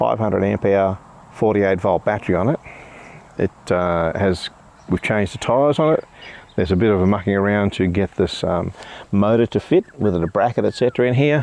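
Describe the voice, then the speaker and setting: A man's fairly low, dry, close voice with no echo, fairly quick with long, frequent pauses, ordinary pitch variation and very even loudness. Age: 60s. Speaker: bike reviewer. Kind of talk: product review. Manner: halting.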